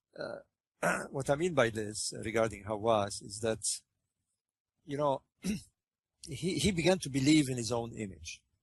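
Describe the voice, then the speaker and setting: The voice is somewhat breathy, with lively intonation. It moves at a fairly slow pace with long, frequent pauses. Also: man, medium pitch for a man. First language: French. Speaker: interviewee, researcher on ancient Egypt. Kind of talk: interview conversation. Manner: hesitant, many fillers and repetitions.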